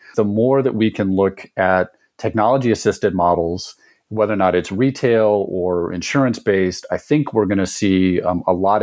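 At a fairly low pitch, a man speaks in a plain, everyday voice with ordinary pitch variation and a moderate pace. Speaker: telehealth company executive. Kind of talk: interview discussion.

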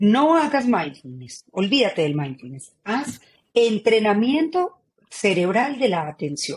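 Somewhat breathy and fairly high-pitched, a woman speaks at a very slow pace with very wide pitch swings. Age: 40s. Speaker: author and neurocoach. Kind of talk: interview. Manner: animated.

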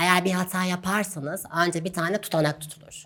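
Speaking at a moderate pace, a woman with an unremarkable speaking voice uses ordinary pitch variation. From Turkey, Gaziantep. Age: 20s. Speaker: doctor. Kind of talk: interview.

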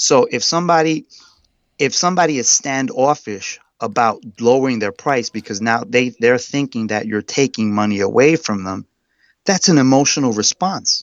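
With a New York accent, a man of medium pitch speaks at a moderate pace with lively intonation. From New York City (Brooklyn). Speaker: real estate agent. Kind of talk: interview. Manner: halting, repeats words.

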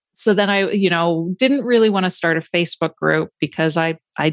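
An ordinary speaking voice at a moderate pace, with ordinary pitch variation and a dry, close sound with no echo. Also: woman. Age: 40s. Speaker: ADHD coach and podcaster. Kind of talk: casual interview chat.

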